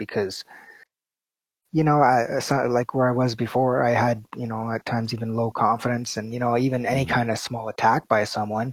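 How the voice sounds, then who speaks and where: A man with a Canadian accent talks at a moderate pace and a medium pitch. His intonation is monotone and flat, and the sound is dry and close with no echo. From Canada. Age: 40s. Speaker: video producer. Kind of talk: interview. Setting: video call. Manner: soft-spoken.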